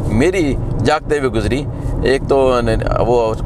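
Dry sound with no echo from a man, noticeable background noise behind him. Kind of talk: casual vlog chat. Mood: relaxed reminiscing. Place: car. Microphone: camera far.

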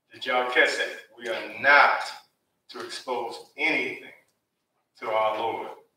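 Talking at a fairly slow pace, a man leaves long, frequent pauses, his loudness swinging widely amid audible room echo. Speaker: preacher. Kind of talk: sermon. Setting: church. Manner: animated, call-and-response, joking with the congregation. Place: church.

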